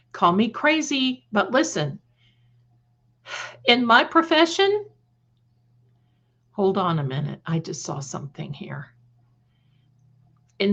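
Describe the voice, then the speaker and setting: A woman speaks in an animated way with an American accent, a bright, sharp tone and vocal fry. Her pitch swings very widely at a fairly slow pace. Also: quiet background. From Ohio (Cleveland area). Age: 60s. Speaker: psychic livestream host. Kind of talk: livestream chat with viewers. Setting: live stream.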